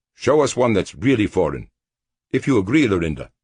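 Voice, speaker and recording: A man puts on a gruff character voice at a medium pitch, moving at a fairly quick pace. His pitch swings very widely while his loudness stays very even. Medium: read story. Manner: gruff, sardonic.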